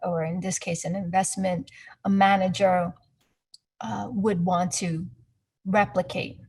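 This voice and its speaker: Speaking very slowly with long, frequent pauses, a woman keeps a fairly even intonation at medium pitch, her voice somewhat breathy. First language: not English. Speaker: investment performance analyst. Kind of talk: webinar presentation. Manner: halting, searching for words.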